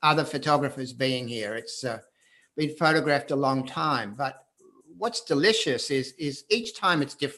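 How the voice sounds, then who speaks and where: A man speaks with an Australian accent in a bright, sharp tone at a moderate pace. The background is quiet. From Australia, Perth. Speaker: photographer. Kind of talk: live video conversation. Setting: video call.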